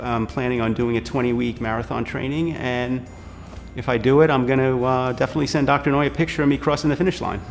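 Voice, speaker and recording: A man is talking. Music plays in the background. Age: 50s. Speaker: knee surgery patient. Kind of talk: patient testimonial interview answer.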